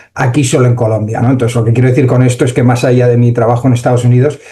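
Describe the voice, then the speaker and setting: This man has a Spanish accent and a medium-pitched voice delivered in a flat monotone. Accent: Spanish (Spain). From Spain. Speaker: AI entrepreneur and conference speaker. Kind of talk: conference talk. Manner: hesitant, many fillers.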